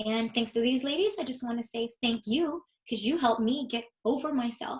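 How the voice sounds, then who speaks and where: A woman talks at a fairly quick pace with a high pitch. Her tone is animated. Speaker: fitness coach and team business trainer. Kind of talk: team training presentation. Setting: video call. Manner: fast.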